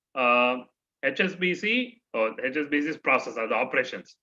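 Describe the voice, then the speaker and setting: In an Indian accent, the voice moves at a moderate pace with very wide pitch swings and a bright, sharp tone. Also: man. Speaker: trainer. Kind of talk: orientation talk to students.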